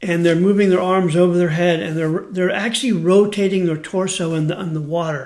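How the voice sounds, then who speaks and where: A man's high-pitched voice with fairly even intonation and hardly any pauses, amid audible room echo and noticeable background noise. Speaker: karate instructor. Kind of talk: instructional talk.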